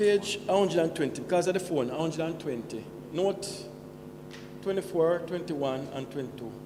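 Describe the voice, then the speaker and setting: With audible room echo and noticeable background noise, a man with a high pitch talks at a fairly quick pace, using ordinary pitch variation and long, frequent pauses. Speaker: shareholder at annual meeting. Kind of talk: question at meeting.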